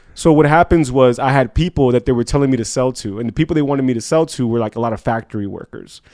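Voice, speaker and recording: Here a man talks at a very fast pace with ordinary pitch variation. His medium-pitched voice has a dark, mellow tone. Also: hardly any pauses. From Colombia (Cali), with time in Chicago. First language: Spanish. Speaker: entrepreneur, insurance agent. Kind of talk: casual chat. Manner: animated.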